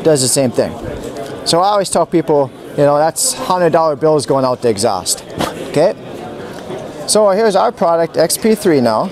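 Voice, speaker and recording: A man with an American accent speaks at a moderate pace with long, frequent pauses, very wide pitch swings and very even loudness, in a dry sound with no echo and noticeable background noise. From Minnesota. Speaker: product demonstrator. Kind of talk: product demonstration. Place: hall.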